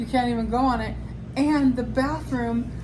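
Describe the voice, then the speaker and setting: Noticeable background noise sits behind a woman's voice. The room echo is audible too. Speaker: show co-host reviewing theatre. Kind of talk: casual chat. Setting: hotel room. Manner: animated.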